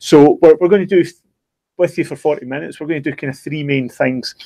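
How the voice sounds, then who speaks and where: Talking at a very fast pace with ordinary pitch variation, a man with a Scottish accent is heard in a dry, close sound with no echo. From Scotland. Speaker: online course educator. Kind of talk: live stream discussion. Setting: video live stream. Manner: halting, many repetitions.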